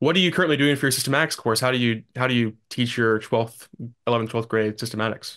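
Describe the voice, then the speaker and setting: Over a quiet background, a man with an American accent talks at a very fast pace and very even loudness. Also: ordinary pitch variation. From US South. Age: young. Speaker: podcast host and grad student; podcast host. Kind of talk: casual interview chat. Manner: halting, many fillers. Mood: friendly, curious. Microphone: video call.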